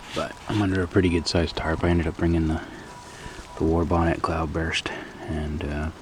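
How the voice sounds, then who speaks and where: A man speaks quietly in a very deep, low pitch. Noticeable background noise is present. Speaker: backpacking vlogger. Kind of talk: casual vlog narration. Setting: outdoors.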